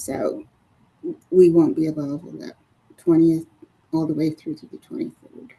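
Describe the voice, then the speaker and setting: Pausing often and at length, a woman talks at a moderate pace with big swings in loudness. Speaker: school board member. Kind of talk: committee meeting. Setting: public meeting. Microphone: muffled.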